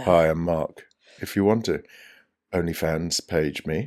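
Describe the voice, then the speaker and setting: In a put-on character voice, a man speaks croakily at a very deep, low pitch and a fairly slow pace, in a very clean recording with a silent background. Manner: joking, voice-message greeting.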